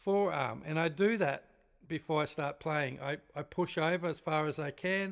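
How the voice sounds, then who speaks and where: On a very clean recording with a silent background, a man with an unremarkable speaking voice talks at a moderate pace with fairly even intonation. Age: 60s. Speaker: drum teacher. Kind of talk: tutorial. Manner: casual, conversational.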